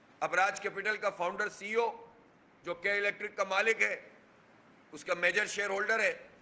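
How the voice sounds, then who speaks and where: The voice is raised and projected, with fairly even intonation. Noticeable background noise runs underneath. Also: man. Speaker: provincial head of a political party, press conference speaker. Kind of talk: political press conference speech.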